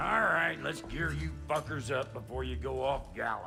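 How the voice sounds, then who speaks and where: A put-on character voice, gruff and raspy, comes at a very deep, low pitch and a moderate pace. Faint music plays in the background. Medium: video game. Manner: gruff, crude, blunt.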